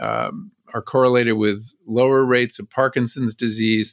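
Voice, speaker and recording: This is a man with a normal speaking voice at a medium pitch. The recording is very clean, with a silent background. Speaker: exercise expert. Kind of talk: interview clip.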